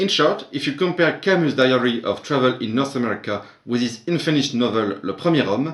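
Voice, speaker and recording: With a French accent, the speaker moves at a fairly quick pace with hardly any pauses. The intonation is lively. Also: man, medium pitch for a man. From France. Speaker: literature teacher. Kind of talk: academic conference presentation.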